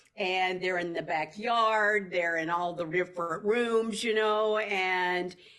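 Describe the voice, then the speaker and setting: Speaking with a Southern US accent, a woman talks at a fairly slow pace with ordinary pitch variation. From Tennessee. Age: 60s. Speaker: actress. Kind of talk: interview. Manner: animated.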